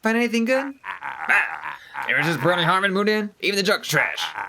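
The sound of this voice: An unforced reading voice runs through the clip.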